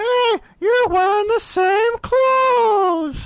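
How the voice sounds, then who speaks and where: In a put-on character voice, the words come at a very slow pace and an extremely high pitch. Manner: silly, playful.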